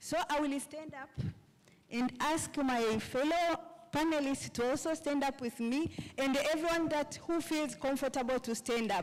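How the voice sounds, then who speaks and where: The pace is fairly slow and the pitch variation ordinary, with noticeable background noise behind the speaker. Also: woman, high pitch for a woman. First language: not English; English is her third language or later. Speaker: grassroots land rights activist, panelist. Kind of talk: conference panel talk. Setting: conference stage with audience. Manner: halting.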